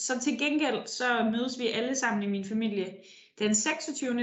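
Noticeable background noise and audible room echo surround a woman's voice. Her pitch is fairly high, with ordinary variation. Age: young. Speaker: politician. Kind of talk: interview. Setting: remote call from her office.

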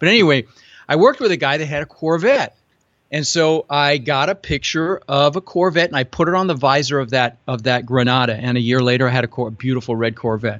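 This man has a General American accent, a fairly high pitch and an unremarkable speaking voice. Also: ordinary pitch variation, fairly quick pace. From Netherlands-born, raised in Denver, US. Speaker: real estate investor. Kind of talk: interview.

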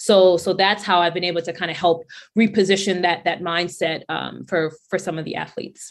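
Speaking at a fairly quick pace, a woman keeps a fairly low pitch. Her intonation is monotone and flat. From US Northeast, Brownsville, Brooklyn, New York. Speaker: career coach for athletes, company founder. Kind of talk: interview.

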